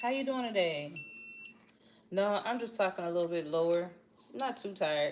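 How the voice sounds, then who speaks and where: A woman speaks with lively intonation and long, frequent pauses. Noticeable background noise can be heard. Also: medium pitch for a woman, moderate pace. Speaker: livestream host, motivational speaker. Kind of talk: casual live chat. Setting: livestream at home, at a treadmill. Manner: chatty, addresses viewers.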